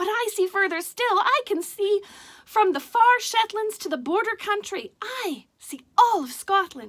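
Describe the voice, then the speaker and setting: A woman puts on a character voice at an extremely high pitch. She speaks at a moderate pace. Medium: read story. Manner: calm, modest, understated.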